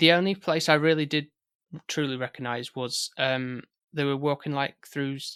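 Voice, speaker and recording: A man with a Yorkshire accent speaks at a moderate pace in a bright, sharp tone, with fairly high pitch and fairly even intonation, on a very clean recording with a silent background and a dry, close sound with no echo. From West Yorkshire, near Haworth. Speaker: film podcast guest. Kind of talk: casual chat. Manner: halting.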